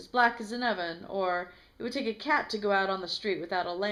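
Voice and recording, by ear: The clip is someone reading aloud in a natural voice, with ordinary pitch variation.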